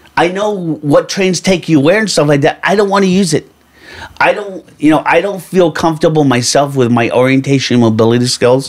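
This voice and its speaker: An unremarkable speaking voice from a man with an American accent, fairly quick, fairly high-pitched, with lively intonation. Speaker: blind baseball player. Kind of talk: interview storytelling.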